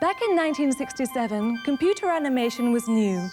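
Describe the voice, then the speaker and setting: A woman's high-pitched voice with lively intonation at a moderate pace, music playing in the background. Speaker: TV host. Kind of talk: documentary TV presenting.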